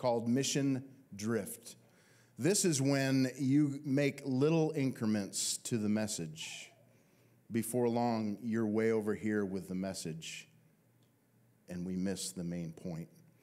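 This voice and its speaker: Very slowly and with long, frequent pauses, a man speaks in a dark, mellow tone with lively intonation. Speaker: pastor. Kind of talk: sermon. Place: church. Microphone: handheld.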